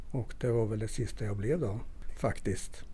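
At a moderate pace, a man speaks with a dark, mellow tone, somewhat breathy and with ordinary pitch variation. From northern Värmland, Sweden (Torsby). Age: 60s. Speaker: folk high school teacher. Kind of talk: interview.

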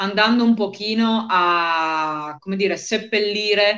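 In a plain, everyday voice, a woman speaks at a medium pitch with fairly even intonation. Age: 40s. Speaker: interviewee with multiple sclerosis, author. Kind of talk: interview. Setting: live online stream.

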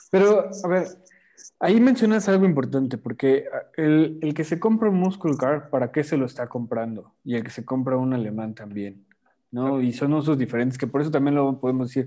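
A man speaks at a fairly quick pace with a fairly high pitch and lively intonation. His tone is dark and mellow, on a very clean recording with a silent background. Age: young. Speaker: car podcast co-host. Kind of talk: casual chat.

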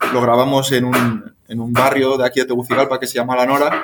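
The pace is fairly quick. The voice belongs to a man. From Spain. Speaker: volunteer abroad, filmmaker. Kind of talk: casual chat.

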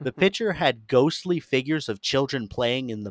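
In a plain, everyday voice, a man with an American accent talks at a fairly slow pace at medium pitch, his intonation lively and the sound dry and close with no echo. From Florida. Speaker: podcast host. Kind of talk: reading aloud; casual chat.

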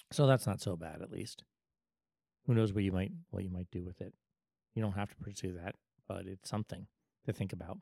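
With a dark, mellow tone, a man speaks at a fairly low pitch with ordinary pitch variation. His pace is fairly quick, with long, frequent pauses, and the sound is dry and close with no echo. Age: 40s. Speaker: podcast host. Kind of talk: casual chat.

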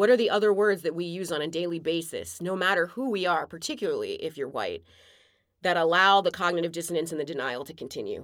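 A woman with an American accent speaks at a very fast pace and a fairly low pitch, with ordinary pitch variation. The recording is very clean, with a silent background. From outside the US. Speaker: podcast co-host. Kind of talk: casual chat.

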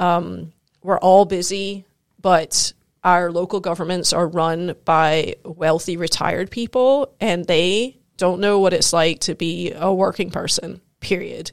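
A woman talks at a fairly slow pace. Her intonation is fairly even. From Scotland and US, Scottish-American upbringing. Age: 40s. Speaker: digital marketing entrepreneur and triathlete. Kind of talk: casual chat. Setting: studio.

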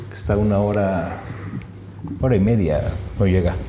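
Noticeable background noise and audible room echo surround a man's voice. He speaks at a moderate pace with a fairly low pitch. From Mexico. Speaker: hotel director and triathlete. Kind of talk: interview. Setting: hotel venue.

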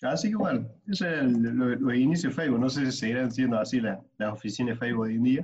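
A man rattles along at a very fast pace with hardly any pauses and very even loudness. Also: medium pitch for a man, ordinary pitch variation. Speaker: podcast co-host. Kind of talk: casual chat.

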